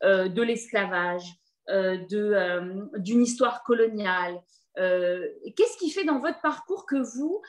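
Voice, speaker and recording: A woman speaks at a very slow pace with a fairly high pitch. Her pitch swings very widely. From France, Paris. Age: 40s. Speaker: comedian, interviewer. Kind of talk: interview conversation.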